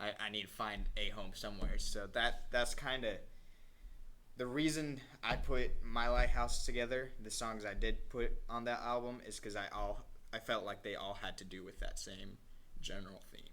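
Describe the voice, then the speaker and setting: Big swings in loudness mark a man's moderate-paced speech, heard with audible room echo. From Colombia. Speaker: singer-songwriter. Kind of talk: casual interview.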